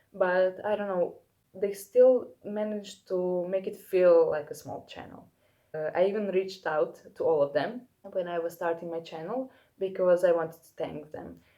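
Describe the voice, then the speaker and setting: At a moderate pace, a woman with a non-native accent speaks in a medium pitch. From Europe. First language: not English. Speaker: fashion YouTuber. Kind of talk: casual vlog talk to camera. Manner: halting, many fillers.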